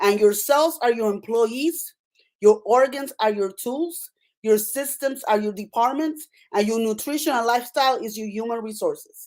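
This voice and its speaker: Speaking at a moderate pace, a woman with a Puerto Rican accent uses a fairly high pitch, an animated tone, and ordinary pitch variation on a very clean recording with a silent background. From Puerto Rico. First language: Spanish. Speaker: nurse practitioner and author. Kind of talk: interview.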